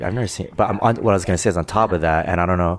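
A man talks at a very fast pace. His voice has a very deep, low pitch. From Korean-American community. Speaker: stand-up comedian. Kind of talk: casual chat.

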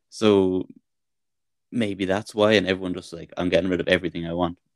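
A man with a very deep, low pitch speaks at a fairly quick pace with fairly even intonation. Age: 40s. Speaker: podcast co-host. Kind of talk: casual chat.

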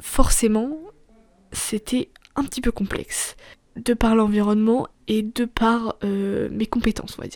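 Her pitch fairly high and her intonation fairly even, a woman speaks with big swings in loudness and long, frequent pauses. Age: 20s. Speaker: podcaster. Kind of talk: personal monologue. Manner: halting; casual.

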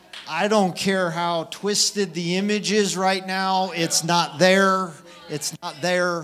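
A man with high pitch and monotone, flat intonation at a very slow pace, over noticeable background noise. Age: 40s. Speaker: preacher. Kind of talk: sermon. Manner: impassioned.

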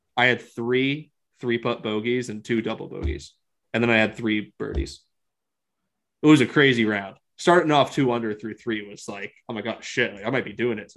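A man with a normal speaking voice talks at a medium pitch and a moderate pace, his intonation lively and his loudness swinging widely. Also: very clean recording, silent background. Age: 40s. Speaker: golf podcast co-host. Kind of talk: casual chat.

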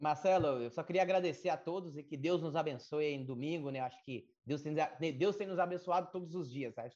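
A man with a plain, everyday voice speaks at a fairly quick pace. His pitch is fairly high, with ordinary variation. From Brazil, rural Minas Gerais/Bahia border. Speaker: agricultural market analyst. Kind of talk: interview. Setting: live stream.

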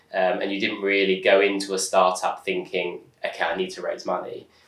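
Over noticeable background noise, a man's speech moves at a moderate pace. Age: 30s. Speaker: startup founder and angel investor. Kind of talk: interview conversation.

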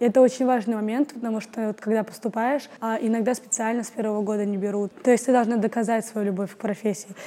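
Against noticeable background noise, a woman with a fairly high pitch speaks at a very fast pace. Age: 20s. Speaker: actress and acting student. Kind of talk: casual interview. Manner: animated.

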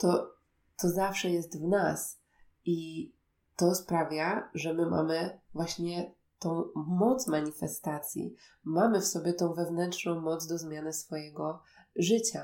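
A very slow delivery in a dark, mellow tone with fairly even intonation. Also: woman, fairly low pitch for a woman. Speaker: podcast host and meditation guide. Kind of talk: personal storytelling monologue. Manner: soft-spoken.

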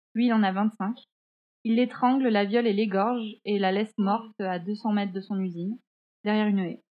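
A woman talks at a moderate pace with fairly even intonation and a fairly high pitch. She has a normal speaking voice. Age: 20s. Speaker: podcast co-host, graphic designer. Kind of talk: true-crime storytelling in casual chat. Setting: remote recording.

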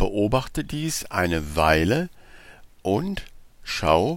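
A man speaks very slowly, his pitch swinging very widely, with vocal fry. His tone is calm and soothing. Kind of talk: guided meditation. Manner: slow, calm and soothing, with long pauses; soft-spoken, gentle and instructive.

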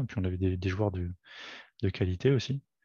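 The recording is dry and close, without echo. A man speaks at a moderate pace, his pitch varying in an ordinary way. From France, Paris region (Fresnes). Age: 40s. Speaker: amateur football player, referee and club volunteer. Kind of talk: casual interview. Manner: halting, many repetitions.

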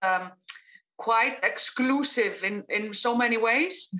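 In an Icelandic accent, a woman speaks with a fairly high pitch, a bright, sharp tone and ordinary pitch variation. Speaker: crime novelist. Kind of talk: panel interview. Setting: video call.

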